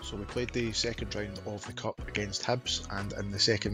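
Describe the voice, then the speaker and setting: With music in the background, a man talks at a fairly quick pace and a fairly low pitch, his pitch varying in an ordinary way. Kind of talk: gaming commentary. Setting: headset microphone, home recording. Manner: casual, conversational.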